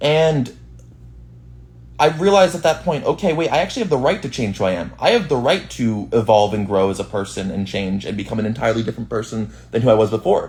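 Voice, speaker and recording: A man with an American accent, medium-pitched and full of vocal fry, with lively intonation at a very fast pace. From Boston, US. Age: 20s. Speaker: streamer. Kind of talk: casual chat.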